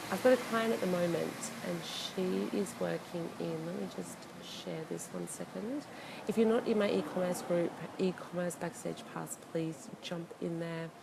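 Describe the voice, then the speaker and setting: A woman's moderate-paced speech comes through noticeable background noise. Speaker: e-commerce consultant. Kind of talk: casual live video talk. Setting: hotel, live video. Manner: quiet; hesitant, many fillers.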